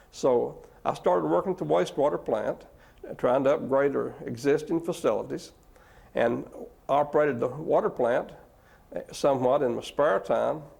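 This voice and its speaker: A man with an East Tennessee accent talks at a moderate pace, breaking often into long pauses. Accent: Southern American (East Tennessee). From East Tennessee, USA. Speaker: city manager and water manager. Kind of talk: oral history interview answer.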